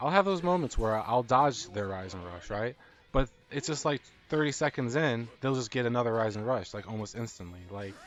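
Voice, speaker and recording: Over music in the background, a man talks at a fairly quick pace in a medium pitch with lively intonation. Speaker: gaming youtuber. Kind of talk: rant. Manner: halting, repetitive.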